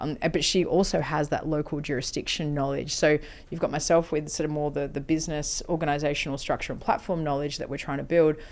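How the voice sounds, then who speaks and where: A woman with a strong Australian accent speaks at a very fast pace, with hardly any pauses. Her pitch is very deep and low, her intonation monotone and flat. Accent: broad Australian. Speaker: health-tech company CEO. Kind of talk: interview.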